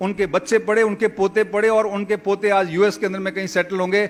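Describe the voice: At a moderate pace, a man talks in a high pitch that moves very little.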